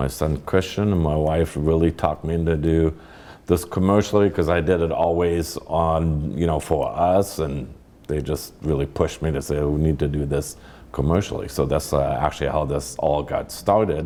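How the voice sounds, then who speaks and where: A man's very deep, low voice with a German accent and fairly even intonation. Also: moderate pace. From Germany. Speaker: winemaker, winery founder. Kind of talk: interview. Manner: halting.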